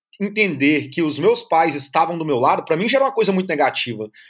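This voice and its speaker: Pitch swings very widely as a man speaks at a fairly quick pace. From Brazil (Brasília, then Natal). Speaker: long-term traveler. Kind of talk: interview.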